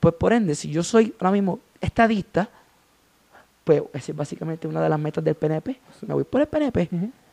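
A man with a Puerto Rican accent, high-pitched yet dark and mellow in tone, fairly quick, with lively intonation and a dry, close sound with no echo. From Puerto Rico, Gurabo. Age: young. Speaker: journalism student. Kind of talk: political discussion.

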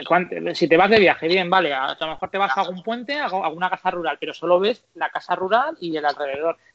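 Talking at a very fast pace with hardly any pauses, a man uses a high pitch and ordinary pitch variation. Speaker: podcast host about motorhomes. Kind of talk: casual interview chat.

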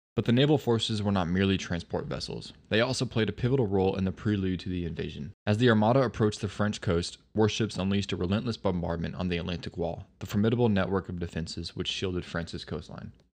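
Over a quiet background, a man delivers a solemn, dramatic tone at a very fast pace with hardly any pauses. His pitch is fairly low, with ordinary variation. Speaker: history podcast narrator. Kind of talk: history documentary narration, scripted and read aloud. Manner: formal, dramatic, measured storytelling pace; solemn and earnest, like a documentary voiceover.

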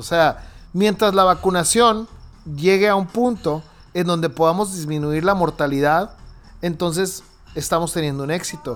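A man talks at a high pitch. His pace is fairly slow. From Mexico, Hermosillo, Sonora. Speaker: podcast host. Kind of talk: casual chat.

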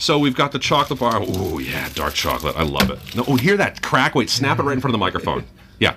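Amid noticeable background noise, a man talks at a very fast pace in an animated tone. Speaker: radio host. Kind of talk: casual radio interview. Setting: radio studio. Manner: animated, chatty.

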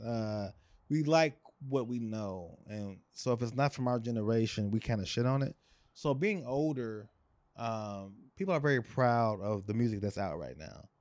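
A man with an American accent has an ordinary speaking voice at a medium pitch. He moves at a moderate pace with ordinary pitch variation. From Chicago. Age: 40s. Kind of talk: casual chat.

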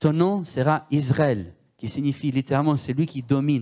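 A man is speaking. He has a strong Italian accent. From Italy. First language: Italian (speaking French). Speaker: guest preacher. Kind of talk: sermon.

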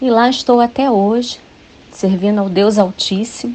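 A woman at medium pitch, fairly slow in pace, with fairly even intonation. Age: 50s. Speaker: church women's ministry volunteer. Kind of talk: scripted testimony.

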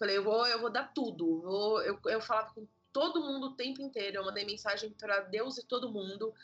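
With music in the background, a woman speaks fairly quickly at a fairly high pitch, her pitch varying in an ordinary way. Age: 20s. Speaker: children's book author and illustrator. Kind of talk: casual interview.

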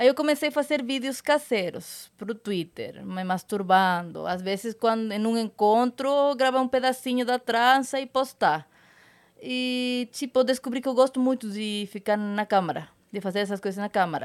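On a very clean recording with a silent background, a woman uses an ordinary speaking voice at a fairly high pitch, a moderate pace and ordinary pitch variation. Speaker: adult content creator and actress. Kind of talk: casual chat.

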